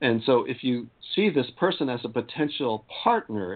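With an unremarkable speaking voice, a man talks at a medium pitch with ordinary pitch variation. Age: 50s. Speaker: spiritual activist and tantra teacher. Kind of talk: casual interview.

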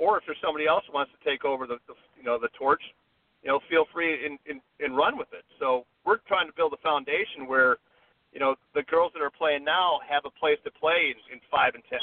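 A man speaks with an American accent at a fairly quick pace. His loudness swings widely. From US Midwest, Chicago area. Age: 50s. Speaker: golf resort media relations director. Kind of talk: casual interview.

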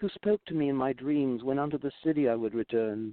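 A man speaks with a normal speaking voice. His pace is moderate and his pitch varies in an ordinary way. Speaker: storyteller reading his own tale. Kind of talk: literary audiobook reading of an archaic fable. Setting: studio via remote connection.

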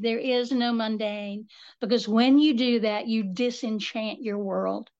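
Over a quiet background, a woman with a high voice speaks in an Appalachian accent. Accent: Appalachian Southern US. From US South, western North Carolina. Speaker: author and folklorist. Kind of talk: casual interview chat.

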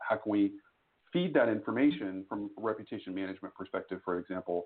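A man talks in a plain, everyday voice with an American accent. His pitch is fairly low, with ordinary pitch variation, and his pace is fairly quick. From Texas. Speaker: employer branding executive. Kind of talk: interview.

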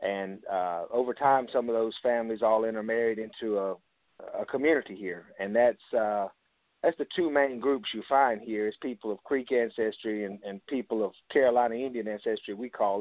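Here a man speaks with a Southern US accent. His pace is moderate and his pitch variation ordinary. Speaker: author and historian of Indian descendant communities. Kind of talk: radio interview.

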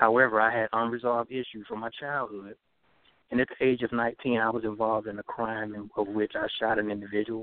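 The delivery is monotone and flat at a fairly quick pace. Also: man, medium pitch for a man. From Alabama. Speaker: author and filmmaker. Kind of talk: interview, sharing life story.

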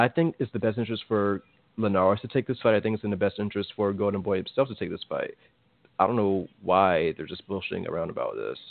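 The speaker talks at a very fast pace with an American accent. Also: man, fairly low pitch for a man, ordinary pitch variation. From Virginia, US East Coast. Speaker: boxing podcast co-host. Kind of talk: casual chat.

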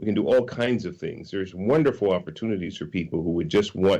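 A man with an American accent and a very deep, low pitch, over a quiet background. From US West Coast (California). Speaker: nonprofit co-founder and IT professional. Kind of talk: talk radio interview. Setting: remote call-in to radio show.

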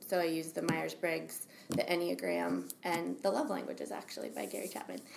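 A woman with an American accent talks at a fairly quick pace. Room echo is audible. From Albany, New York, US. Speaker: soul coach. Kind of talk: interview.

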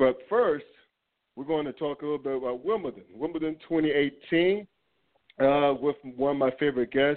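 Long, frequent pauses break up this man's speech. He talks at a moderate pace with fairly high pitch. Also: ordinary pitch variation. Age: 40s. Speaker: sports podcast host. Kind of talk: casual sports talk.

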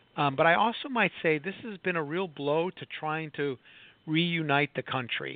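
This man talks at a moderate pace with a fairly high pitch and an ordinary speaking voice. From Chicago, US Midwest. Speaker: professor, former lobbyist. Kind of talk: radio interview.

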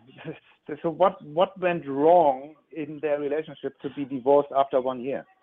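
Delivered at a moderate pace with a German accent, the speech has fairly even intonation and big swings in loudness. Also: man, fairly high pitch for a man. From Germany. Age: 50s. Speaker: relationship coach. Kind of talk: radio interview. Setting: phone call. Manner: halting, repeats words.

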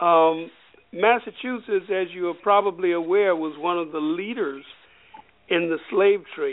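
Fairly slow speech from a man with an American accent, high in pitch, with ordinary pitch variation. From US South, Alabama. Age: 70s. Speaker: former state senator. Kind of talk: radio talk show interview. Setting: phone call.

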